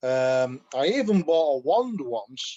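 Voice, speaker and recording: The speaker is a man. He talks with a Yorkshire accent. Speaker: customer giving product testimonial. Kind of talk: testimony. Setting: call. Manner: halting, many fillers.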